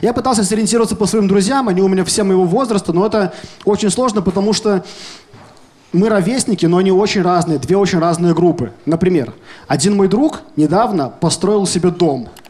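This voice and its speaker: A man with a high pitch talks at a fairly quick pace, with ordinary pitch variation and very even loudness, amid noticeable background noise. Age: 20s. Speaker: stand-up comedian. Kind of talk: stand-up. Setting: stage with audience.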